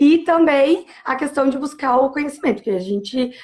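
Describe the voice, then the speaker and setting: At a moderate pace, a woman with a high voice speaks using lively intonation. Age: 30s. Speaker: primary school teacher. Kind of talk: interview on teaching practice.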